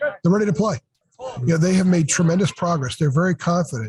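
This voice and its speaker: Recorded dry and close with no echo, a man speaks in a high voice with lively intonation. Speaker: sports journalist, publisher. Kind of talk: casual podcast chat. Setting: noisy arena.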